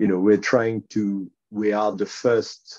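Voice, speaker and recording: A man with a strong French accent is heard in a dry, close sound with no echo. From France. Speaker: underwriter turned tech entrepreneur. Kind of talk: interview conversation.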